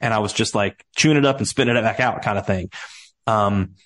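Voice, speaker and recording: A man with a slight Southern US accent, fairly low in pitch, with ordinary pitch variation, over a quiet background. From US Midwest. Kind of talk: casual interview.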